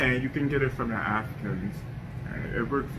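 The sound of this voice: Over clear background noise, a man talks at a moderate pace in a fairly low pitch.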